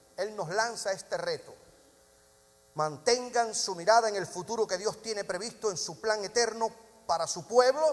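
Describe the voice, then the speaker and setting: The man's voice sits high in pitch and varies in an ordinary way. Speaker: pastor. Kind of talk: sermon. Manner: fast.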